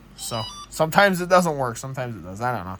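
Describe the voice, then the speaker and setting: Noticeable background noise surrounds this voice. A man at medium pitch speaks with lively intonation. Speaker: tech hobbyist YouTuber. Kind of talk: casual show-and-tell vlog.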